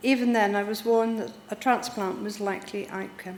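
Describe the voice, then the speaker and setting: The speech moves at a moderate pace, with room echo clearly audible. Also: woman. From Devon, England. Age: 60s. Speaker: heart transplant patient. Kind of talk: personal testimony, read from notes.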